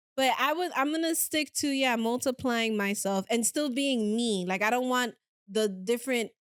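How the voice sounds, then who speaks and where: A woman with a Spanish accent talks in a high voice and an animated tone, with ordinary pitch variation and very even loudness, on a very clean recording with a silent background. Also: moderate pace. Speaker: podcast host. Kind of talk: casual chat.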